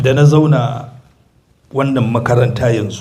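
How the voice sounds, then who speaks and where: The recording carries audible room echo. A man talks at a moderate pace. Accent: African. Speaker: visiting Islamic preacher. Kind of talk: sermon with interpretation. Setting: mosque.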